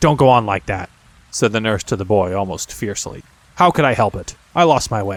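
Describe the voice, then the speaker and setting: Someone speaks in a put-on character voice at a fairly quick pace. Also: man, fairly low pitch for a man, lively intonation. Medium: read story. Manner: fretful, prim, quick to cry.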